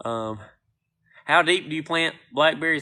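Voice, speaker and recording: Over a quiet background, a man talks in a bright, sharp tone with ordinary pitch variation. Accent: North Carolina. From US South, North Carolina. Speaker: gardener and plant seller. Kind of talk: live stream Q&A.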